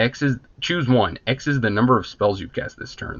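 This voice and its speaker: He speaks in an ordinary speaking voice at a medium pitch, with ordinary pitch variation. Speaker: card game video host. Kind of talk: casual box opening commentary.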